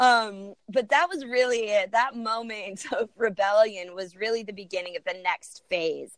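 A woman with a medium-pitched voice, a bubbly, energetic tone and a moderate pace, in a dry, close sound with no echo. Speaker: professional storyteller and speaker. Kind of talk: casual interview chat.

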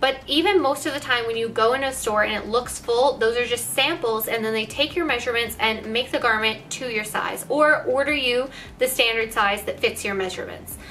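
Light background noise accompanies a woman speaking at a fairly quick pace in a high pitch with ordinary pitch variation. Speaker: fashion vlogger. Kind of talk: casual vlog chat. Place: home room.

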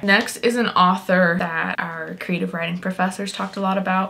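Putting on a raspy character voice at medium pitch, a woman speaks at a moderate pace in a flat monotone, with clear background noise. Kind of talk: casual vlog chat. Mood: relaxed, friendly.

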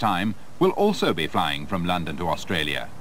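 At a moderate pace, a man speaks with very wide pitch swings over noticeable background noise. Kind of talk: 1980s documentary promo narration. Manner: formal, measured, authoritative; polished, clear, scripted delivery.

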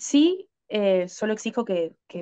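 With a Rioplatense accent, a woman speaks in a fairly high pitch and a dark, mellow tone, her intonation lively over a quiet background. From Argentina. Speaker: adult content creator. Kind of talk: interview. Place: home room. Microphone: video call.

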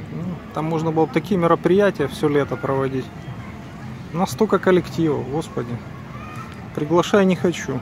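A man's fairly high voice at a moderate pace, with long, frequent pauses, dry sound with no echo, and crowd noise in the background. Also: ordinary pitch variation. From Ukraine. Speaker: video blogger. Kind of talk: casual vlog walk-and-talk. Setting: outdoors. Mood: bitter in parts. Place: street. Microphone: phone near.

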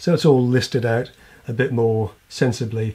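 With an English accent, a man talks at medium pitch. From England. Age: middle-aged. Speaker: woodworking YouTuber. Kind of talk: casual channel update to camera. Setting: home workshop or backyard. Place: home room.

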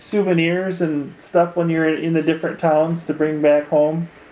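A man speaks fairly slowly in a high voice, his dark, mellow tone held to a flat, monotone delivery. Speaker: interviewer. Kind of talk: oral history interview. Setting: in-person interview, socially distanced. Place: home room.

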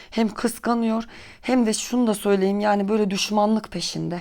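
A woman speaks at a moderate pace in a flat, monotone intonation. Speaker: tarot and bean fortune teller. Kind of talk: fortune-telling monologue to viewers. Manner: hesitant, many filler sounds.

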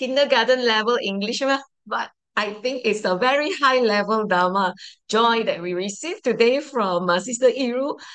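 A woman's fairly high voice at a moderate pace, ordinary pitch variation, quiet background. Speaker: Dharma talk host. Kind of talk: hosting. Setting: video call. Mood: warm, grateful. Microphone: video call.

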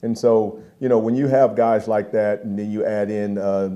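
Here a man speaks at a fairly low pitch and a moderate pace. His tone is dark and mellow, and his intonation fairly even. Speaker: football position coach. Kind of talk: press conference answer. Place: hall. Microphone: podium.

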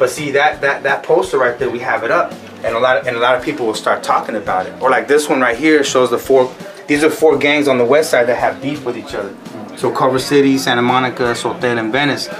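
Speaking fast, a man with a medium pitch and fairly bright tone shows ordinary pitch variation over faint background noise.

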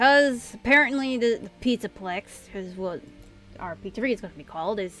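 A whiny, female-sounding put-on character voice plays over faint music in the background. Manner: sarcastic, grumpy, whiny.

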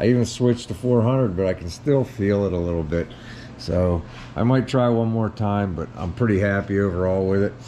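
Here a man talks at a fairly quick pace with a fairly low pitch and ordinary pitch variation. Light background noise can be heard. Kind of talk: casual project update walkthrough. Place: garage. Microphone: phone near.

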